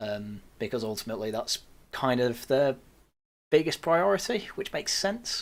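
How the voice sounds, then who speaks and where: With an English accent, a man at a medium pitch speaks at a moderate pace, his pitch swinging very widely. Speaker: news roundup podcast host. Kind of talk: casual chat.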